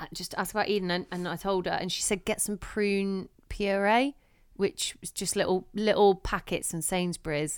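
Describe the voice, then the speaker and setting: A woman speaks in an unremarkable speaking voice at medium pitch. Her pace is moderate and her intonation fairly even. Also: very clean recording, silent background. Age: 30s. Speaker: podcast host and new mum. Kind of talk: casual chat. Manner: chatty, laughs often.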